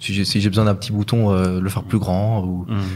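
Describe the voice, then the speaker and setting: An unremarkable speaking voice from a man with fairly even intonation. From Luxembourg. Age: 20s. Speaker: e-commerce entrepreneur. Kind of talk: casual chat. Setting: at the hosts' home.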